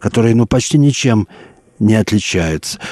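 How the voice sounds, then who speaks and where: His tone dark and mellow, a man speaks at a moderate pace with very wide pitch swings, the sound dry and close with no echo. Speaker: sinologist radio presenter. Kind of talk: scripted narration. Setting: studio. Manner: formal.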